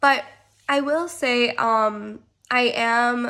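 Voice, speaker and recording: A woman's voice comes through in a very clean recording with a silent background. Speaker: vlogger sharing pregnancy after loss. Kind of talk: personal vlog. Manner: hesitant, many fillers.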